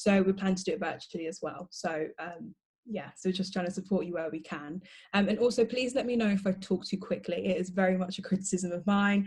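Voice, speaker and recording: Somewhat breathy and at a medium pitch, a woman talks at a fairly quick pace with fairly even intonation. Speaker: law student and society president. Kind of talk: panel talk. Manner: fast.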